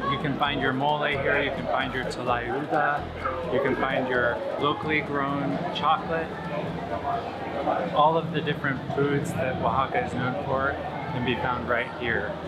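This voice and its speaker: A man talks at a fairly slow pace as music plays in the background. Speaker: travel vlogger. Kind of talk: casual vlog chat. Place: market. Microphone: phone near.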